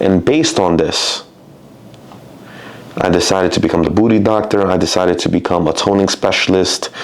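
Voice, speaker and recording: The voice moves at a fairly quick pace with very even loudness, ordinary pitch variation and long, frequent pauses. Noticeable background noise runs underneath. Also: man, very deep, low pitch for a man. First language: Spanish. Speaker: personal trainer. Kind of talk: casual monologue.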